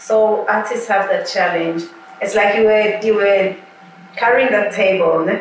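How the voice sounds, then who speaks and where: A woman with a medium-pitched voice speaks at a fairly slow pace, with light background noise and audible room echo. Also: fairly even intonation. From Mozambique. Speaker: musician. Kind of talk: interview. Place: home room.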